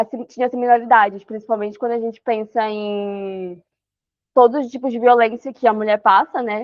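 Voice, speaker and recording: A woman at a moderate pace, fairly high-pitched, with fairly even intonation. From Amapá, northern Brazil. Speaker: researcher on human trafficking. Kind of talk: online talk / presentation. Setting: video call. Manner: halting, many fillers.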